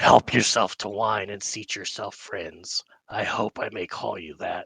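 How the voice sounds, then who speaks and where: At a moderate pace, a man talks in a raspy, put-on character voice. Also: fairly low pitch for a man. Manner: welcoming, hosting.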